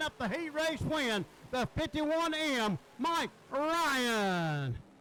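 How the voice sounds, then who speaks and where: Noticeable background noise sits behind a man whose extremely high pitch shows ordinary variation. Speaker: race track announcer. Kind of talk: live commentary. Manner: loud.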